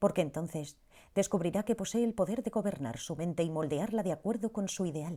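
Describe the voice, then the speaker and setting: A woman's ordinary speaking voice at a medium pitch, with lively intonation and a fairly quick pace. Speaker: audiobook narrator. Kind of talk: audiobook narration, reflective reading.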